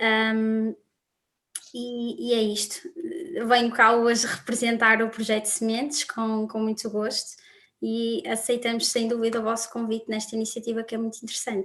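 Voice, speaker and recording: Her intonation is monotone and flat. The woman's pitch sits fairly high. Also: moderate pace. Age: 20s. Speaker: student volunteer coordinator. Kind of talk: panel discussion.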